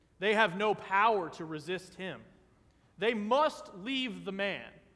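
Raising and projecting his voice, a man speaks high-pitched with a bright, sharp tone, lively intonation and a fairly slow pace. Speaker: vicar preaching a sermon in a Lutheran church. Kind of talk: church sermon. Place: church. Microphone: podium.

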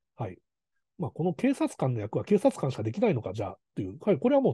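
A man with fairly high pitch and vocal fry talks at a very fast pace, his pitch swinging very widely. The sound is dry and close with no echo, over a quiet background. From Kanazawa, Ishikawa, Japan. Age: 40s. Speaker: film director. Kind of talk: lecture. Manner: hesitant, many fillers.

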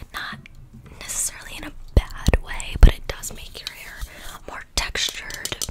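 Whispering, a woman speaks at a fairly slow pace. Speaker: ASMR creator playing hairdresser. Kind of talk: ASMR roleplay chat. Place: home room. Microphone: studio mic.

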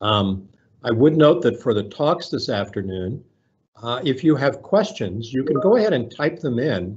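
A somewhat breathy man at a moderate pace over a quiet background. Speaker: event host. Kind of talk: welcome remarks at a virtual meeting. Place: office. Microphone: webcam.

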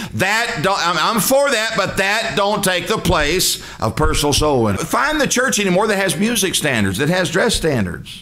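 Raising and projecting his high-pitched voice, a man with a Southern US accent speaks at a moderate pace in an animated tone, with lively intonation, very even loudness and hardly any pauses. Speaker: preacher. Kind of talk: sermon. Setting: church. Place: church. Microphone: podium.

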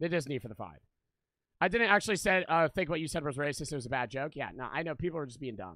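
Over a quiet background with dry sound and no echo, a man talks at a very fast pace in a bright, sharp, animated tone, his intonation lively and his loudness swinging widely. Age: 20s. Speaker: gaming streamer. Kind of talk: live game stream commentary. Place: home room. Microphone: studio mic.

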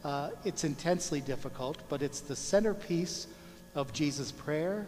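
A man speaks at a fairly slow pace with ordinary pitch variation. Light background noise can be heard. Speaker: priest. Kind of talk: sermon. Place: church.

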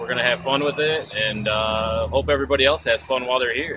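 A man's voice at a moderate pace, with ordinary pitch variation, a dry sound with no echo, and noticeable background noise. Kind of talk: interview answer. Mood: cheerful, relaxed. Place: street. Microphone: phone near.

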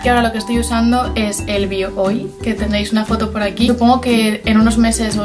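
Clear music plays in the background as a woman talks at a very fast pace. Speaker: beauty vlogger. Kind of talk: casual talk to camera. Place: home room. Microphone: phone near.

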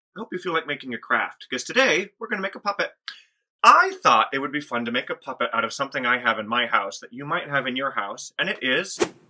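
Against a quiet background, a man raises and projects his voice. His tone is bright and sharp, and his pace is fairly quick. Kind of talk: tutorial. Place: workshop. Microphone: phone near.

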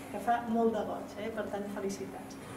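A woman speaks at a moderate pace with a fairly high pitch over noticeable background noise. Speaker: university vice-rector. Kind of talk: formal speech at event. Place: hall. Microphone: camera far.

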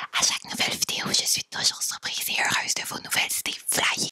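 A woman whispers at a fairly quick pace. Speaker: YouTube duo host. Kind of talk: ASMR reading of viewer comments. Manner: whispered. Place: home room. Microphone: studio mic.

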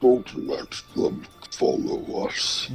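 Clear music plays in the background behind a put-on character voice. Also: man, extremely high pitch for a man.

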